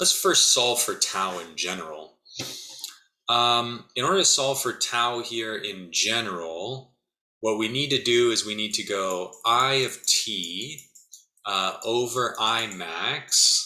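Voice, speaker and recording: Speaking at a very slow pace, a man uses lively intonation and a bright, sharp tone at medium pitch. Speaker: physics instructor. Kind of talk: lecture.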